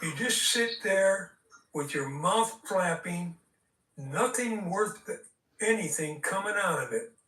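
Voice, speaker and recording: A man speaks in a raised, projected voice at a high pitch, with ordinary pitch variation. His pace is very slow, broken by long, frequent pauses. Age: 80s+. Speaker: debate guest. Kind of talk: heated debate. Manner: angry, insulting rant.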